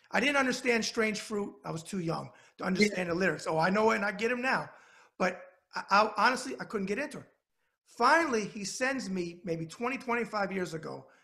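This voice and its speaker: With a New York accent, a man speaks in a raised, projected voice at a fairly quick pace, high in pitch for a man, animated in tone, with ordinary pitch variation. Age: 50s. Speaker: web show host. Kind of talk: interview. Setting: video call.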